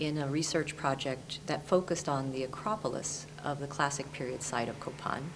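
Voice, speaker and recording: A woman's very deep, low voice at a moderate pace, fairly even in intonation, with noticeable background noise. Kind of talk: lecture. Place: studio. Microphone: lapel.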